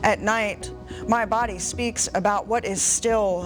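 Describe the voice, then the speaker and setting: A woman speaks in a monotone, flat intonation with music in the background. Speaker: poet and activist, university writing teacher. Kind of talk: poetry reading, performed.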